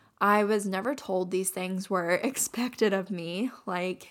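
On a very clean recording with a silent background, a woman with an American accent and a normal speaking voice talks fairly slowly at a medium pitch, with fairly even intonation. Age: 20s. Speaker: podcast host. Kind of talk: solo podcast monologue.

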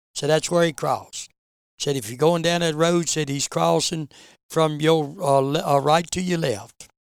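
A man with an Appalachian accent, fairly even intonation and a very clean recording with a silent background. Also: fairly high pitch for a man, moderate pace. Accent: Appalachian Southern US. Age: 70s. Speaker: veteran bear hunter. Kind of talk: interview storytelling.

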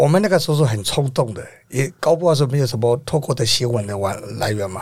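Somewhat breathy, a man's voice moves at a moderate pace, its pitch varying in an ordinary way. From Myanmar. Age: 50s. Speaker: protest organizer and renovation contractor. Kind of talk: interview.

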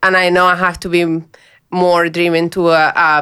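A woman with a Spanish accent speaks at a fairly low pitch in a very clean recording with a silent background. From Colombia, north. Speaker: mining engineering manager. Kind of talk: interview.

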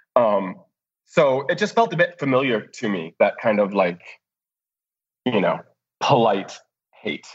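A man's medium-pitched voice with an American accent, very wide pitch swings, a fairly slow pace and long, frequent pauses. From US Midwest (downstate Illinois). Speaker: TV editor. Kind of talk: interview. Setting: video call.

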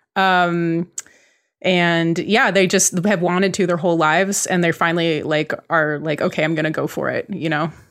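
A woman with an American accent and a plain, everyday voice talks at a moderate pace, fairly low in pitch. Her intonation is fairly even, and the recording is very clean with a silent background. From US West Coast (Bay Area, California). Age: 30s. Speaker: cartoonist and TV creator. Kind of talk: casual interview chat.

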